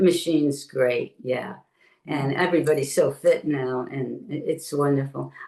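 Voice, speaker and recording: With a Brooklyn accent, a woman talks at a moderate pace in a very deep, low voice. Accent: New York (Brooklyn). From New York City (Brooklyn). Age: 70s. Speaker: retired Pilates teacher and former studio owner. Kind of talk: interview. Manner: animated.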